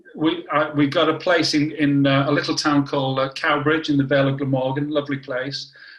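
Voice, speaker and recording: A man with a fairly high pitch talks at a fairly quick pace with hardly any pauses. His intonation is monotone and flat, and background noise is noticeable. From northern England, Warrington. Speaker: cancer biology scientist. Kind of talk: interview.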